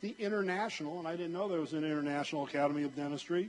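The man speaks with ordinary pitch variation. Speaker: conference moderator. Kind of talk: speaker introduction. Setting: stage with audience. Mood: warm, lightly joking. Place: hall. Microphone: handheld.

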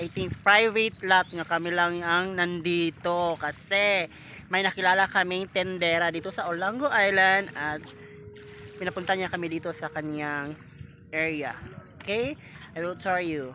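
Over light background noise, a man with a high-pitched, bright and sharp voice talks at a fairly slow pace with fairly even intonation, the sound dry with no echo. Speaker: travel vlogger. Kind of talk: casual vlog chat. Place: beach. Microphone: phone near.

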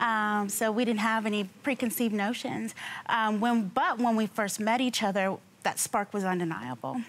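Keeping her loudness very even, a woman with an American accent speaks at a moderate pace with ordinary pitch variation. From US West Coast, San Diego; California. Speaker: litigant on a TV court show. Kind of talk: testimony. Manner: halting. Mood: earnest, somewhat aggrieved. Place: studio. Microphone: lapel.

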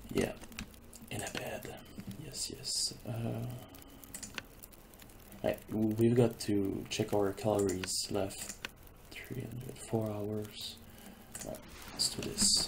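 Over loud background noise, a soft-spoken man talks at a very slow pace and fairly low pitch, with fairly even intonation and long, frequent pauses. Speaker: gamer. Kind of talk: casual gameplay commentary. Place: home room.

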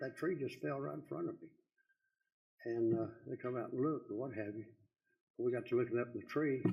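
With audible room echo, a man in a Texan accent talks very fast at medium pitch, somewhat breathy and with lively intonation. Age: 80s+. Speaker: citizen speaker. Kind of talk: public comment at council meeting. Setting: city council meeting.

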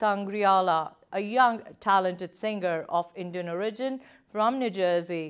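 A woman speaks fairly slowly with ordinary pitch variation against a quiet background. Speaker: news presenter. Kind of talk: news reading. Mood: calm, formal. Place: studio.

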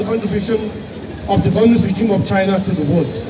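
Noticeable noise sits in the background as a man talks. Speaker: protest speaker. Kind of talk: protest speech. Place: street.

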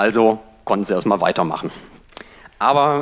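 The man's voice shows ordinary pitch variation. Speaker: free software advocate. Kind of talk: conference talk. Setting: stage with audience. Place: classroom. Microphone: headset.

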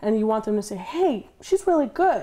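A dark, mellow tone at a fairly quick pace. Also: woman. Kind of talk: interview answer. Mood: relaxed, cheerful. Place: home room.

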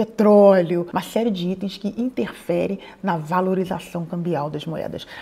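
A woman's medium-pitched voice at a moderate pace with ordinary pitch variation. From Brazil. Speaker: YouTuber advising emigrants. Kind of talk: explainer to camera.

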